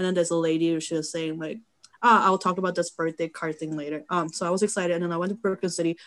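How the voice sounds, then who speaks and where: Very fast pace from a woman with fairly even intonation. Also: fairly low pitch for a woman. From South Korea. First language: Korean. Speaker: photographer and model. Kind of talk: casual chat. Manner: halting.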